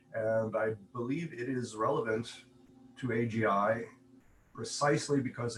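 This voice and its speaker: A man's somewhat breathy voice, fairly slow in pace, with fairly even intonation. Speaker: conference speaker, AI researcher. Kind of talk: conference talk with slides. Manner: hesitant with fillers.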